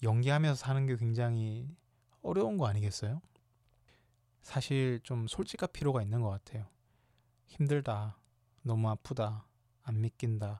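A man's dark, mellow voice at a fairly slow pace, with ordinary pitch variation and long, frequent pauses, on a very clean recording with a silent background. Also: medium pitch for a man, dry, close sound with no echo. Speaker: podcast host. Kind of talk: solo podcast talk on grief. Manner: frequent fillers and hesitations.

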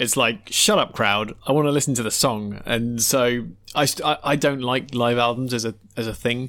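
A man with a British accent speaks at a moderate pace and medium pitch. His tone is bright and sharp, his intonation fairly even. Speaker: podcast co-host. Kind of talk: casual chat about music.

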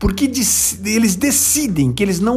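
Amid noticeable background noise and audible room echo, a man speaks at a high pitch and fairly slow pace with lively intonation. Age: 50s. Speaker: business speaker. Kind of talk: motivational talk.

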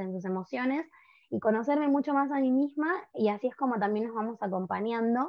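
This woman talks at a fairly quick pace in a Rioplatense accent. Her pitch is fairly high, with ordinary pitch variation. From Argentina, Buenos Aires. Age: 20s. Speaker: workshop facilitator on menstrual cycles. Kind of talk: podcast interview.

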